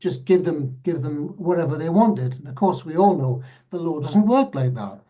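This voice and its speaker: A man with a dark, mellow tone speaks amid audible room echo. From northern England, Northumberland. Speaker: mediator. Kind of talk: panel discussion.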